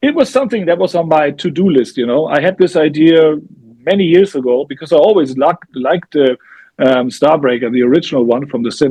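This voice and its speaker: This man's pitch varies in an ordinary way as he talks at a moderate pace. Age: 60s. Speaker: heavy metal singer. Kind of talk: interview. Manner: halting.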